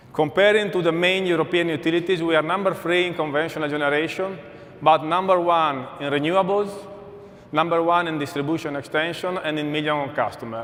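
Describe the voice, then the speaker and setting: Over noticeable background noise and audible room echo, a man with an Italian accent talks at a fairly quick pace with fairly high pitch and fairly even intonation. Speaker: energy company executive. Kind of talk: conference keynote.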